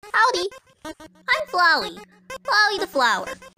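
A put-on character voice with an extremely high pitch, delivered at a fairly slow pace. Faint music plays in the background. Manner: chirpy, upbeat.

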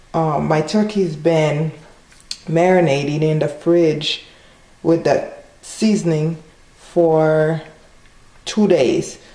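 Amid audible room echo, a woman with a very deep, low pitch speaks very slowly, taking long, frequent pauses and keeping her loudness very even. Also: fairly even intonation. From Haiti. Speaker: cooking channel host. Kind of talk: cooking tutorial. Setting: home kitchen. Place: kitchen. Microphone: phone near.

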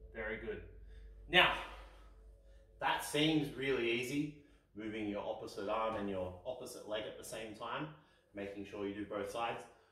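A man speaks at a moderate pace with ordinary pitch variation. Long, frequent pauses come through audible room echo. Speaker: fitness instructor. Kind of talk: instructional kids' exercise video. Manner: clear, calm, encouraging. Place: home room.

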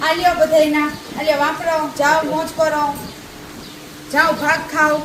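A woman speaks in a high voice. Audible room echo and noticeable background noise surround her. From Gujarat, India. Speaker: comedy vlogger. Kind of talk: casual vlog narration. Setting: outdoors in a village farm. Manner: animated.

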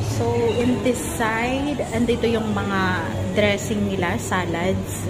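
A woman talks at a very slow pace with ordinary pitch variation. Loud background noise fills the recording. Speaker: vlogger. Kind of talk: casual vlog chat, food tour. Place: cafe. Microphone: phone near.

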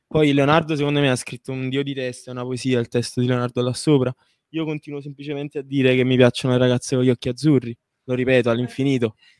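A man at medium pitch rattles off words at a very fast pace in a monotone, flat intonation, the sound dry and close with no echo. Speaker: singer. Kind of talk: interview.

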